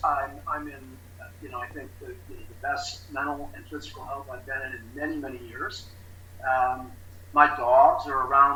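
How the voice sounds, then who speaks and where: There is noticeable background noise and audible room echo as a man talks at a moderate pace. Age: 60s. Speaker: recovery specialist. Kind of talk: interview testimony. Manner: halting, many fillers.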